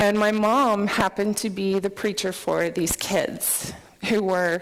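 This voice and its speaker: The speaker goes at a very slow pace with ordinary pitch variation. Background noise is noticeable throughout. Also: woman. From US, military upbringing (moved around). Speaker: software developer, conference speaker. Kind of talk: conference talk. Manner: animated.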